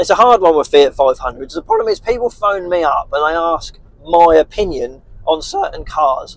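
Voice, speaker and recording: The man talks at a moderate pace in an English accent. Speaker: car dealer vlogger. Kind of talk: casual vlog talk to camera.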